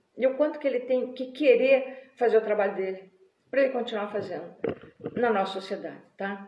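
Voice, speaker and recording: A woman's high voice with ordinary pitch variation, at a moderate pace, in audible room echo. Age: 60s. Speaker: writer and vlogger. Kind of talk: live video monologue. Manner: animated.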